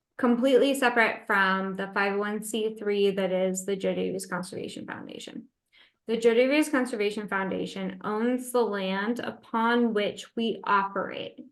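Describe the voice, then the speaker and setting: Over a quiet background, a woman with an ordinary speaking voice talks at a moderate pace and medium pitch, with fairly even intonation. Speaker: natural cemetery operator presenting a case study. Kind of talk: webinar Q&A answers. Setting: online webinar.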